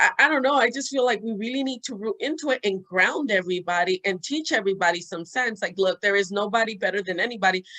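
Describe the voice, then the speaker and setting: This woman talks at a very fast pace with a bright, sharp tone. Her fairly high pitch moves in lively intonation. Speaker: podcast co-host. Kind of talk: casual chat. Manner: halting, stuttering today.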